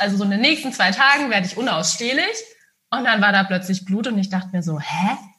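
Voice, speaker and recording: Very fast, lively female speech, fairly high in pitch with a bright, sharp tone. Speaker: hypnosis coach and psychologist. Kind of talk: casual interview chat.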